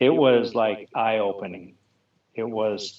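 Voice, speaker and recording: The speaker is a man with a medium pitch. He talks in an American accent. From Montana. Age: 60s. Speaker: snowmobile rider. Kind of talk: interview. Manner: halting.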